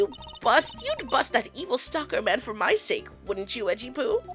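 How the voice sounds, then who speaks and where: Over clear music in the background, the speaker uses a high-pitched put-on character voice at a moderate pace. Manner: pleading, fretful.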